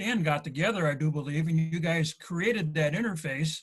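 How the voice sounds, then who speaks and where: Fairly quick speech from a man with a plain, everyday voice, fairly high pitch and ordinary pitch variation. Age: 60s. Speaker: model railroad hobbyist. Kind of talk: casual chat.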